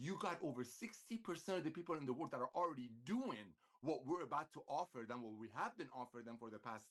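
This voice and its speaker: A man talks at a fairly quick pace in a medium pitch. His tone is animated and his intonation lively. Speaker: network marketing executive. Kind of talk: sales pitch. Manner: fast.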